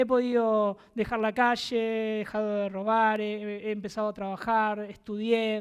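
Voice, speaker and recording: A woman speaks with a fairly high pitch in a flat monotone, at a fairly slow pace with hardly any pauses, on a very clean recording with a silent background. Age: 30s. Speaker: preacher. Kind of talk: sermon.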